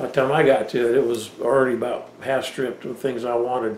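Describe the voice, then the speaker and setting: A man speaks at a moderate pace, with audible room echo and light background noise. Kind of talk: casual vlog chat. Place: office.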